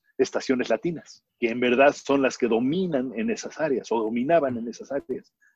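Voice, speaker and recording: A man's voice with ordinary pitch variation and a dry, close sound with no echo. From Mexico. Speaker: marketing agency founder. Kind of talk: interview. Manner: animated.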